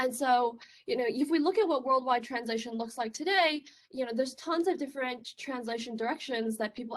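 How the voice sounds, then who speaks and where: Here a woman talks with a Chinese accent at a fairly quick pace. Her pitch is high and her intonation lively. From China. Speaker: research scientist. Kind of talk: conference talk. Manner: casual, filler-heavy.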